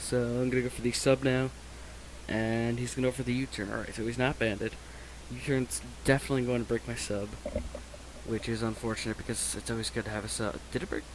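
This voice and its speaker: A man talks at a very fast pace, with long, frequent pauses. Noticeable background noise runs behind him. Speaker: gaming YouTuber. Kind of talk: gameplay commentary. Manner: casual.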